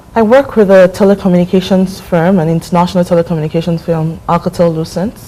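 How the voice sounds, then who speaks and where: Over noticeable background noise, a woman with a fairly low voice talks very fast in a fairly even tone. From Nigeria, Lagos State. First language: Ibibio. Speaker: visiting professional, market analyst. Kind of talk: TV interview. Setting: TV studio.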